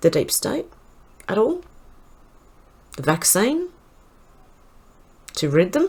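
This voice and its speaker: Speaking very slowly with long, frequent pauses, a woman with an Australian accent uses a fairly high, somewhat breathy voice with very wide pitch swings. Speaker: online commentator. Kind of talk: news roundup reading.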